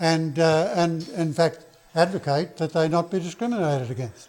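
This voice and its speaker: Talking at a fairly slow pace, a man with an Australian accent has a high pitch. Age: 70s. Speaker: political activist. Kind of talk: speech. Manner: halting.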